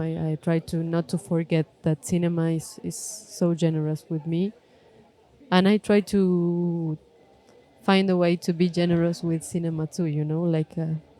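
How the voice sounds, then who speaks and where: Speaking with a non-native accent at a fairly slow pace, the voice keeps a fairly even intonation in a dry, close sound with no echo. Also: woman. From Argentina, Córdoba. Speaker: film director. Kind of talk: live podcast interview. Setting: stage with audience at film festival. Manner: halting, many fillers.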